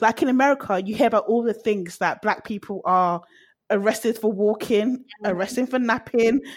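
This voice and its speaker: Her accent is British. The speaker, a woman, has ordinary pitch variation. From London, South London. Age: 30s. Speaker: interview guest. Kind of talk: casual chat. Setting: online call.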